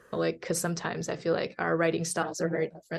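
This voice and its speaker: Vocal fry in a Chinese accent over a quiet background. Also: woman. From China (Hunan-born, raised in Guangzhou). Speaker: journalist. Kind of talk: interview. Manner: many fillers, halting.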